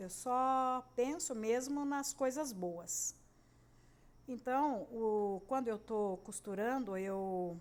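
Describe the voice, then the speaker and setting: With lively intonation, this woman talks in a fairly high voice. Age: 60s. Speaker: sewing and crafts YouTuber. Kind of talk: casual tutorial monologue. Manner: hesitant, many fillers.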